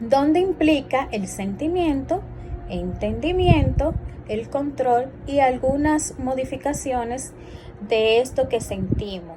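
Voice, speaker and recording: Music plays behind a woman with a high pitch who speaks at a very slow pace with very wide pitch swings, and room echo is audible. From Dominican Republic, San Francisco de Macorís. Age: 20s. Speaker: clinical psychologist and instructor. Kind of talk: lecture. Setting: recorded class also streamed live.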